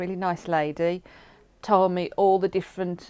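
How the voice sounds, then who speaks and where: A woman talks at a moderate pace with a medium pitch. She has an ordinary speaking voice. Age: 60s. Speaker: partially sighted person sharing experience. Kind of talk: testimony.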